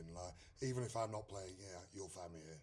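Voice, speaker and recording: A man's fairly low, somewhat breathy voice with an English accent. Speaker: country singer. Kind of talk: interview. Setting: music festival.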